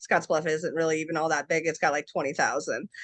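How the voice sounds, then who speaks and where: A woman's voice comes through dry and close with no echo. The background is quiet. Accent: American. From US Midwest, western Nebraska. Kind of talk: interview.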